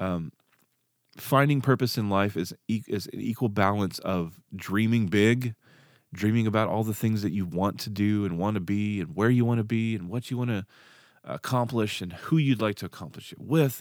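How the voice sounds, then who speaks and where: In a Southern US accent, a man speaks at a fairly low pitch and a moderate pace with ordinary pitch variation. The recording is very clean, with a silent background. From Arkansas. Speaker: podcast host, musician and ex-pastor. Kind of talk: solo podcast monologue. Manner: halting, many fillers.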